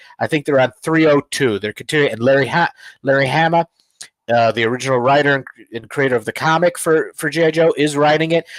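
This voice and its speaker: At a very fast pace, a man speaks in a fairly high voice, with a dry, close sound and no echo. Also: ordinary pitch variation. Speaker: comic book podcast co-host and cover artist. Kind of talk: casual chat.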